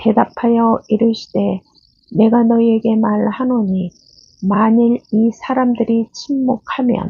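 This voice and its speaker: At a very slow pace, a woman delivers her words in a monotone, flat intonation at a fairly high pitch. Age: old. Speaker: Bible reader. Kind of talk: scripture reading. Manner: calm, slow.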